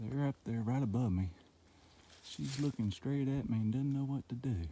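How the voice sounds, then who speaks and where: A man's medium-pitched voice with a dark, mellow tone, moderate pace, ordinary pitch variation and very even loudness. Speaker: hiker vlogger. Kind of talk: casual vlog narration. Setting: outdoors on a hiking trail.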